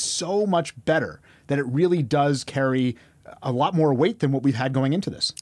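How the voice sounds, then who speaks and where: A man with an unremarkable speaking voice, fairly high in pitch, with ordinary pitch variation at a moderate pace. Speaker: podcast guest, emergency physician. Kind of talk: medical, conversational.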